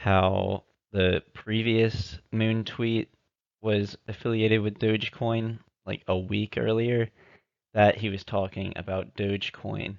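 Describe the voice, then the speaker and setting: A man speaks at a fairly low pitch and a very slow pace. His intonation is monotone and flat over a quiet background. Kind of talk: amateur crypto theory narration over slides.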